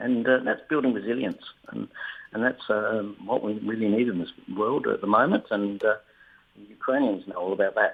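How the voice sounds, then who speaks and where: Speaking at a moderate pace, a man has an Australian accent. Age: 60s. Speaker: retired government official and accident survivor. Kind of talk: radio interview. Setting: phone call. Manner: hesitant, many fillers.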